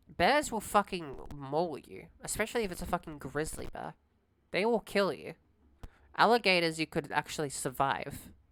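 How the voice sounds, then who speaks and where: Her delivery is animated, with lively intonation, big swings in loudness, and long, frequent pauses. The woman's pitch is fairly low, and her pace is moderate. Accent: Australian. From Australia. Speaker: streamer. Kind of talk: casual live stream chat.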